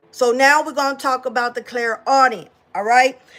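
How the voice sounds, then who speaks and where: With music in the background, a woman with a high-pitched voice talks at a moderate pace. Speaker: psychic medium teaching spiritual abilities. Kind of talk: informal teaching talk. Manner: casual, repetitive fillers.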